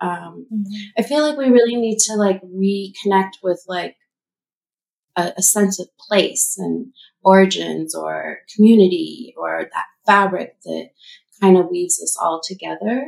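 A woman's fairly slow speech with big swings in loudness. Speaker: artist. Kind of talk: casual chat.

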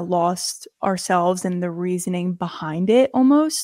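A fairly slow pace in a very clean recording with a silent background and a dry, close sound with no echo. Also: woman. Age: 20s. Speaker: podcast co-host. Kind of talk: casual chat.

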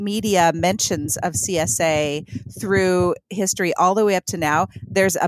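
The clip carries a natural reading voice with ordinary pitch variation.

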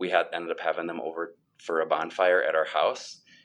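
This is a man with an Upper Midwest accent. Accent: Upper Midwest American. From US Midwest (Sioux Falls, South Dakota). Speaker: former pastor and worship leader, mortgage banker. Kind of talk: interview.

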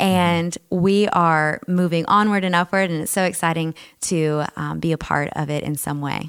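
This woman has an ordinary speaking voice with an American accent. Her pitch is fairly low, her pace moderate and her intonation fairly even. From South Texas. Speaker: agribusiness director at a chamber of commerce. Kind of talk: interview. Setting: studio.

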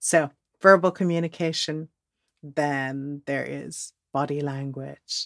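Speaking very slowly with a very deep, low pitch and fairly even intonation, a woman with a Dutch accent is heard in a very clean recording with a silent background and a dry, close sound with no echo. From Netherlands, moved to Texas at twelve. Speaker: podcast host and relationship coach. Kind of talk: solo podcast monologue.

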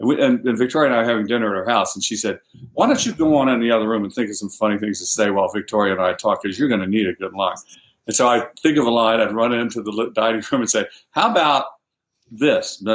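Speaking at a very fast pace, a man holds a medium pitch. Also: ordinary pitch variation. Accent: American. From US South. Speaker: novelist. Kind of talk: interview.

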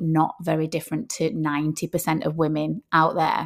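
A woman speaks with a Lancashire accent at a fairly low pitch. The recording is very clean, with a silent background. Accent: northern English (Lancashire). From northern England, Rochdale. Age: 40s. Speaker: personal trainer and nutritionist. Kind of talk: casual monologue podcast. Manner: hesitant, with fillers.

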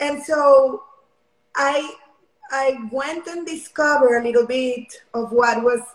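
Speaking with a Spanish accent, a woman uses a high pitch with ordinary pitch variation. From Mexico. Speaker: Olympic long jumper. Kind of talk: interview.

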